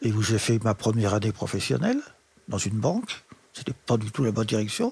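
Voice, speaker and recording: Somewhat breathy, a man's voice comes across with a dry, close sound and no echo. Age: 80s. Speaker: retired special educator. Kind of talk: interview. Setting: in his living room.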